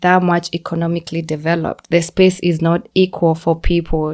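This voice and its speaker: A woman with a Kenyan accent speaks at a moderate pace with a fairly low pitch. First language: Kikuyu. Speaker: podcast guest, immigrant. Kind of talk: casual chat.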